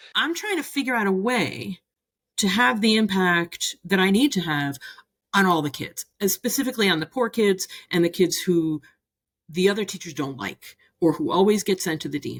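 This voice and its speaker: A woman speaks at medium pitch and a moderate pace. Her intonation is lively. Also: dry, close sound with no echo. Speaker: youth coach and former teacher. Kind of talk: interview conversation. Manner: loud, impassioned.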